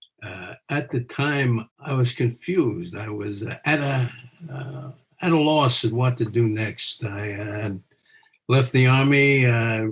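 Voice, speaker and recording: Speaking very slowly at medium pitch, a man has a somewhat breathy voice with ordinary pitch variation. His loudness swings widely. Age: 80s+. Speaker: retired police officer, criminal defense lawyer. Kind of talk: casual spoken introduction. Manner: hesitant, halting.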